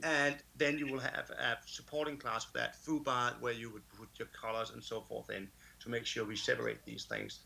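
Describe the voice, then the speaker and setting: A man with a Danish accent at a moderate pace. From Denmark. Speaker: conference speaker. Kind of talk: conference talk. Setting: remote talk, can't see audience. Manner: animated.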